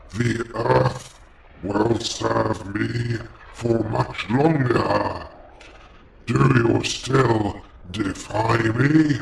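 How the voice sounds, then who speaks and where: The speaker uses a put-on character voice at a very slow pace. Long pauses come often. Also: man, medium pitch for a man. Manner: menacing, commanding.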